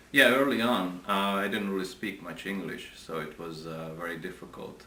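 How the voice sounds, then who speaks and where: In a Hungarian accent, a man with a very deep, low pitch speaks at a fairly slow pace amid audible room echo and noticeable background noise. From Hungary, Budapest. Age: 40s. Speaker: interviewee. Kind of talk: interview. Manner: halting.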